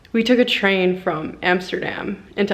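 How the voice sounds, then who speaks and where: At a fairly slow pace, a woman with a normal speaking voice talks in a medium pitch with fairly even intonation. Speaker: professional swimmer vlogger. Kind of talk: casual travel vlog. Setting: airport.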